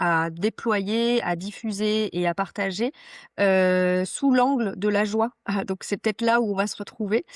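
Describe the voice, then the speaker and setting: On a very clean, dry recording with a silent background and no echo, a woman with a medium pitch speaks very slowly and with fairly even intonation. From Vosges, eastern France. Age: 40s. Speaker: ecological transition and workplace wellbeing consultant. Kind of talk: podcast interview. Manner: hesitant, many fillers.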